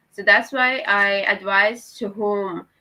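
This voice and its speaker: A very slow woman's voice with a non-native accent and a bright, sharp tone. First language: not English. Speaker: student panelist. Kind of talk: panel discussion. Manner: halting.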